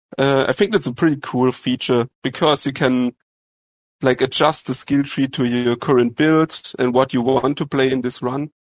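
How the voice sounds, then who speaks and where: A man's medium-pitched voice with a German accent, at a moderate pace, dry and close with no echo, over a quiet background. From Germany. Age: 20s. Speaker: game developer. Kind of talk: interview.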